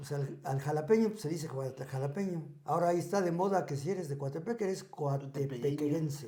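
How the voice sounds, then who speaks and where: Over audible room echo, a man with a fairly high, somewhat breathy voice and a dark, mellow tone talks at a fairly quick pace with hardly any pauses and ordinary pitch variation. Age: 60s. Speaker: podcast guest sharing life stories. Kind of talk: casual interview.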